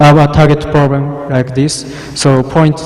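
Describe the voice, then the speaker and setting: A man with a Japanese accent speaks amid noticeable background noise and audible room echo. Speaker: cryptography researcher. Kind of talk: conference talk. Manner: halting.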